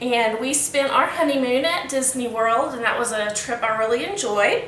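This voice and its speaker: A woman with an American accent speaks in a high pitch at a moderate pace with ordinary pitch variation, amid audible room echo and noticeable background noise. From Texas. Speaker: student giving class speech. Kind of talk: impromptu class speech. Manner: casual, with fillers.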